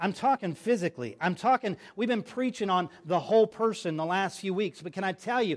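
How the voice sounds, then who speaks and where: A man talks with lively intonation on a very clean recording with a silent background. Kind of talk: preacher's sermon to a live congregation, with call-and-response. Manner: animated, emphatic and rhetorical, urging the audience to respond; repeats phrases for emphasis, builds up in a rhythmic preaching cadence.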